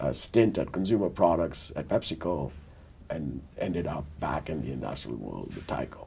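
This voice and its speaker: At a moderate pace, a man with a very deep, low pitch speaks with lively intonation and big swings in loudness. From India (Delhi). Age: 60s. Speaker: business executive, board member. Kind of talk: interview, career story. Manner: measured, with many fillers.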